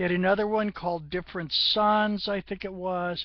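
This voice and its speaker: A woman speaks at a moderate pace and a medium pitch. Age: 60s. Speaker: gaming vlogger. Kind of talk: casual monologue vlog. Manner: rambling, conversational.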